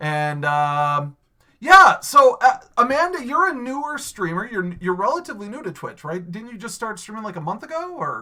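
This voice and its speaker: A raised, projected voice with a bright, sharp tone, very wide pitch swings, big swings in loudness and a moderate pace. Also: man, high pitch for a man. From New York (Western New York). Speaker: podcast host and Twitch streamer. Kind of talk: casual chat.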